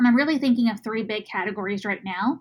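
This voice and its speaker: Speaking very fast in a Texan accent, a woman with a fairly high pitch sounds somewhat breathy, her pitch varying in an ordinary way. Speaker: podcast host. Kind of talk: casual medical podcast discussion.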